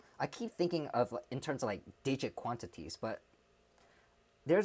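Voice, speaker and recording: A man talks at a fairly quick pace with an American accent. His intonation is lively. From US Midwest, Chicago. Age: 20s. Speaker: streamer. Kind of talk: casual livestream chat. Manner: hesitant, many fillers.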